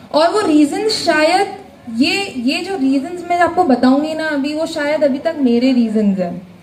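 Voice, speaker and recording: With noticeable background noise and audible room echo, a woman speaks in a high voice with lively intonation. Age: 20s. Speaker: motivational speaker at business seminar. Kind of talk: motivational speech. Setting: stage with audience. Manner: animated.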